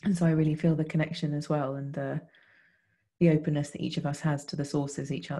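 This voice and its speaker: Against a quiet background, a woman speaks at a very deep, low pitch in a somewhat breathy, dark, mellow tone with monotone, flat intonation. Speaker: podcast co-host. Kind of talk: reflective conversation. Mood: warm, grateful, reflective. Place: home room. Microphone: video call.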